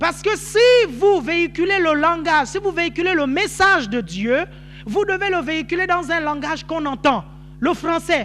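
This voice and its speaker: With noticeable background noise behind him, a man uses an extremely high pitch, a raised, projected voice, an animated tone and lively intonation at a moderate pace. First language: Nzebi (speaking French). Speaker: pastor. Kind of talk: sermon.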